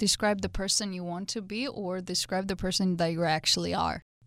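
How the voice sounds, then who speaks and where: A woman speaks in a Georgian accent at a medium pitch with ordinary pitch variation. The recording is very clean, with a silent background. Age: 20s. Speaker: interviewee. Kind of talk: interview answers.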